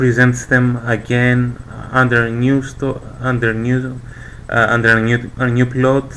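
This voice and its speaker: A man with a non-native accent and a medium pitch talks very slowly against noticeable background noise. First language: not English. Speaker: manga fan presenter. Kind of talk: casual video presentation. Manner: hesitant, many fillers.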